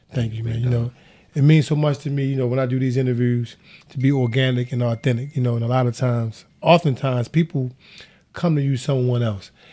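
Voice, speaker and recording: With a dark, mellow tone, a man talks at a medium pitch with ordinary pitch variation. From Baltimore. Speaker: podcast host. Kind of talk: interview.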